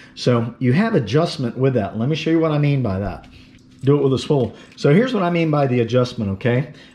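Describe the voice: The tone is dark and mellow, the intonation lively, and the pace fairly quick. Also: man, medium pitch for a man.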